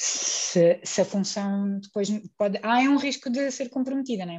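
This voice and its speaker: Using an ordinary speaking voice, a woman talks at a moderate pace. Her pitch variation is ordinary. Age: 30s. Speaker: guest. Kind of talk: casual chat.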